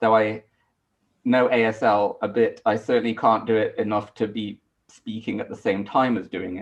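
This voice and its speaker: Monotone, flat intonation at a moderate pace, in a British accent. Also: man, medium pitch for a man. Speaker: astronomy lecturer. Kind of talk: panel discussion.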